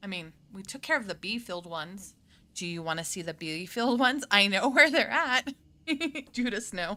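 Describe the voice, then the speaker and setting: A woman with a medium pitch and a bright, sharp tone speaks at a moderate pace, with very wide pitch swings and big swings in loudness. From US South and Colorado. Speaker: gaming streamer. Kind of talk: let's play commentary. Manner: animated.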